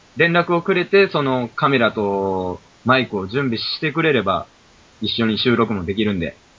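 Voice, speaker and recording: A man with a Kansai accent talks with very wide pitch swings. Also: medium pitch for a man, moderate pace. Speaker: podcast co-host. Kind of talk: casual chat.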